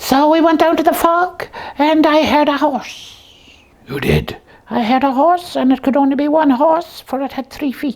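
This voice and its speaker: This cartoonish character voice has a high pitch. Its pace is moderate. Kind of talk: comic overacting. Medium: puppet show. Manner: pompous, mock-Victorian.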